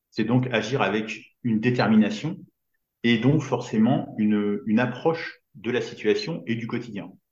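A man's medium-pitched voice at a fairly slow pace, with ordinary pitch variation and audible room echo. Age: 50s. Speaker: business coach for entrepreneurs. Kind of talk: casual interview.

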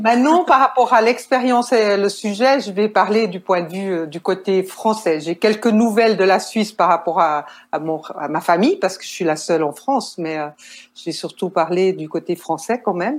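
A woman with a Swiss accent at medium pitch and moderate pace, lively intonation and big swings in loudness. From Switzerland. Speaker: nurse and caregiver. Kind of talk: interview.

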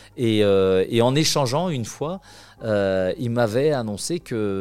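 A man's fairly low voice moves along fairly slowly, its pitch rising and falling in an ordinary way. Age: 50s. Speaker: equestrian performer. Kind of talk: interview. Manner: halting, with frequent fillers.

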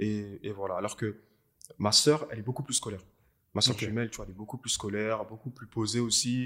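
A man speaks at a fairly quick pace in a bright, sharp tone. His intonation is fairly even, but his loudness swings widely. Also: medium pitch for a man. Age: 20s. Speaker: videographer and filmmaker. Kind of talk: casual interview. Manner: casual, hesitant with fillers.

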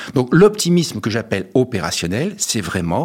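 Using very wide pitch swings and vocal fry, a man talks at a moderate pace. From France, Paris. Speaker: motivational speaker and author. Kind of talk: radio interview.

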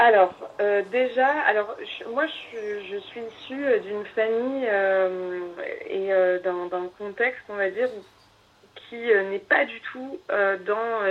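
Speaking very slowly with long, frequent pauses, a woman keeps a fairly high pitch with ordinary variation and big swings in loudness. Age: 30s. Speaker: astrologer. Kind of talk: casual chat.

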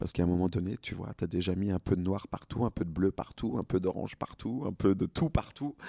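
This man has a very deep, low pitch and a dark, mellow tone, with ordinary pitch variation. He speaks at a fairly quick pace, and the sound is dry and close with no echo. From France, Franche-Comté. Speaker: cosmetics brand co-founder. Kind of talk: interview. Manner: halting.

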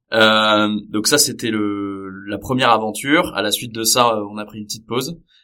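In a very clean recording with a silent background, a man with a bright, sharp, fairly low voice speaks at a moderate pace with hardly any pauses, ordinary pitch variation and big swings in loudness. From Paris region, France. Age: 30s. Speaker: tech startup founder. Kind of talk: podcast interview.

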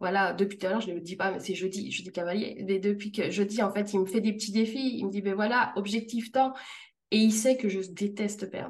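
Moderate pacing carries the delivery. It is an unremarkable speaking voice. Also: woman. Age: 30s. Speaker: freelance customer care manager. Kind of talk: interview testimony.

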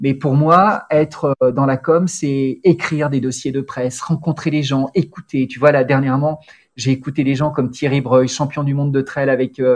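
A man speaks in a plain, everyday voice, pitched fairly high. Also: fairly even intonation, moderate pace. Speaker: sports journalist turned corporate spokesman. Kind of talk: interview conversation.

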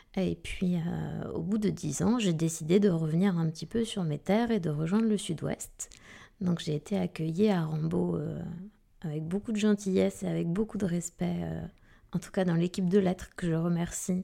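Fairly low in pitch, a woman speaks with a dark, mellow tone and fairly even intonation. The recording is very clean, the background silent. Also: moderate pace. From southwest France, Arcachon basin. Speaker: middle school teacher. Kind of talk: interview.

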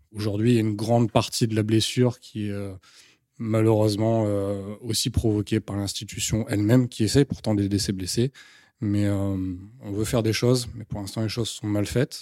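The recording is very clean with a silent background. A man speaks at a moderate pace in a fairly low pitch, with a dark, mellow tone and monotone, flat intonation. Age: 30s. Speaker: soldier on sick leave with combat trauma. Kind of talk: testimony.

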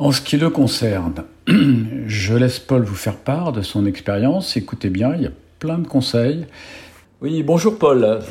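A somewhat breathy man at medium pitch, fairly slow in pace, with lively intonation. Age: 70s. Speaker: podcast host, cyclist. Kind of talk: scripted intro; casual chat.

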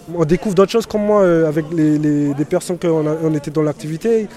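Against crowd noise in the background, a man with a high pitch speaks at a moderate pace with ordinary pitch variation. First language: English (speaking French). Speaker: prison inmate. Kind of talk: interview.

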